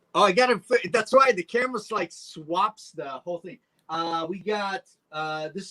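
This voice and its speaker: With a raised, projected voice and a bright, sharp tone, a man speaks at a high pitch and moderate pace, his loudness swinging widely and his pitch varying in an ordinary way, in a dry, close sound with no echo. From Poland, moved to US at eleven. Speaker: reptile breeder. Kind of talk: casual chat.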